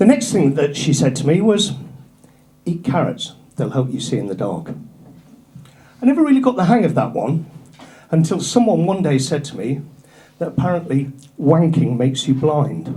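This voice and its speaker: A man with a fairly high voice speaks at a moderate pace, using very wide pitch swings and long, frequent pauses. Audible room echo and noticeable background noise surround him. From northern England, North Yorkshire. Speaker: stand-up comedian. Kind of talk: stand-up. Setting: stage with audience.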